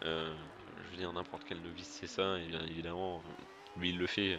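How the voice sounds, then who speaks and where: In a room with audible echo, a man with a very deep, low pitch speaks with fairly even intonation. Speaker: gaming youtuber. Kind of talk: gameplay commentary. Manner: fast; hesitant, many fillers.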